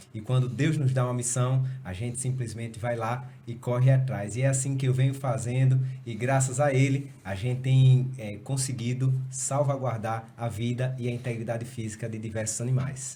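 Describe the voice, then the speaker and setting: Audible room echo surrounds a man speaking at a moderate pace and a medium pitch. His intonation is monotone and flat, with hardly any pauses. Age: 30s. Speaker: police chief and state politician. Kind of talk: casual podcast conversation.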